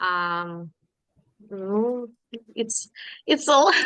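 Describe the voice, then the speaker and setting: A woman with lively intonation and a non-native accent. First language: not English. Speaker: workshop participant. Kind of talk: group discussion report. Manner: halting, many fillers.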